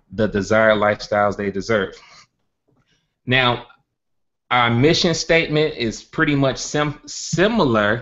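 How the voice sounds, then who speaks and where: With a Southern US accent, a man speaks at a medium pitch and a moderate pace. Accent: country Southern. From US South, Birmingham, Alabama. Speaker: network marketing entrepreneur, organization founder. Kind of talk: webinar presentation. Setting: live online stream with screen share.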